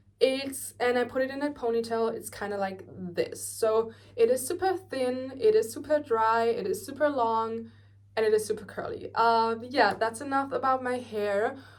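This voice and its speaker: With a German accent, a woman talks at a moderate pace in a high pitch, showing ordinary pitch variation. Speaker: beauty vlogger. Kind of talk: tutorial. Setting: bedroom at grandparents' house. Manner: casual, filler-heavy.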